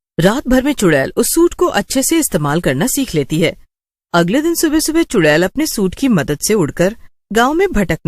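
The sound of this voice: With the background quiet, an unforced reading voice comes through.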